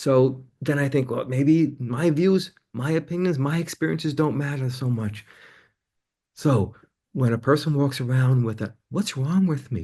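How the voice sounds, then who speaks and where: Against a quiet background, a man with a fairly high pitch and a dark, mellow, somewhat breathy tone speaks at a moderate pace with lively intonation. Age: 60s. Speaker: counselor and author. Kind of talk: interview.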